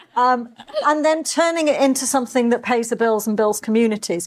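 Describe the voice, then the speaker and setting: A woman speaks in a Yorkshire accent with ordinary pitch variation. Noticeable background noise is present. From northern England, Yorkshire. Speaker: panelist. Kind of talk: panel discussion.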